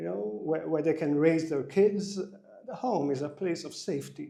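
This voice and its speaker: A man's dark, mellow tone with very wide pitch swings, heard through audible room echo. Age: 60s. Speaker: executive coach. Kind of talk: interview.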